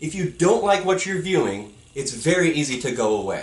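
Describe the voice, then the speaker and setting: Loud and animated, a man with a high pitch speaks at a moderate pace amid audible room echo. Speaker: YouTuber. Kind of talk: vlog rant. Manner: loud, yelling. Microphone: poor audio quality.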